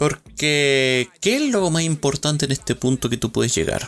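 There is noticeable background noise as a man talks with a Chilean accent. He goes at a fairly slow pace. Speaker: podcaster. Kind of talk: solo monologue. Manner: halting.

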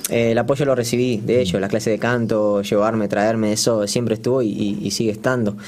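Talking at a very fast pace with hardly any pauses, a man keeps his loudness very even and his intonation fairly even. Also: medium pitch for a man. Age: 20s. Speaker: singer. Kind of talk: casual chat.

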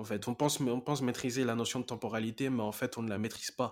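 Medium-pitched male speech at a moderate pace on a very clean recording with a silent background. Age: 20s. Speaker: life coach podcast host. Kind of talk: motivational monologue. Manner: animated.

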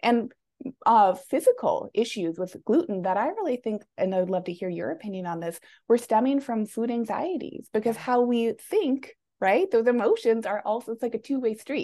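A woman with a fairly high voice and a dark, mellow tone speaks with lively intonation. Her pace is moderate. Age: 30s. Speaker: weight loss coach. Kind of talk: casual interview chat.

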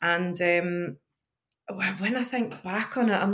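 With a plain, everyday voice, a woman speaks at a medium pitch and ordinary pitch variation. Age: 40s. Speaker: life coach. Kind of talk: casual chat.

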